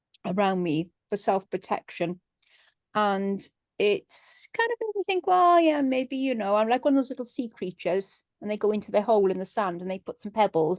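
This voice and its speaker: The woman has a plain, everyday voice at medium pitch and talks at a moderate pace. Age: middle-aged. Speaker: business member. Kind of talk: casual chat.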